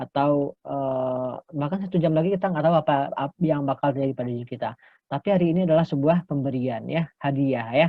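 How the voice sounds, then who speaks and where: Very fast speech comes from a man with hardly any pauses. His pitch is fairly high. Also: ordinary pitch variation. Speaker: English lecturer. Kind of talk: lecture. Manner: bilingual, frequent fillers.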